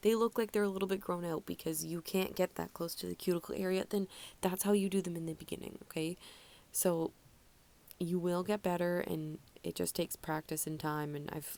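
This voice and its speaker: The tone is dark and mellow, and the pace fairly quick. Intonation stays fairly even. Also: woman. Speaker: nail artist. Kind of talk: tutorial narration. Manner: casual, chatty.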